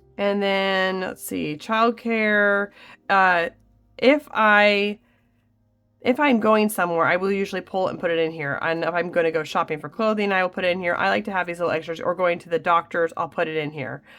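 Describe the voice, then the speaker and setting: Over music in the background, a woman speaks at a medium pitch and a moderate pace. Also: ordinary pitch variation. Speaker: budgeting content creator. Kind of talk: tutorial. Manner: casual.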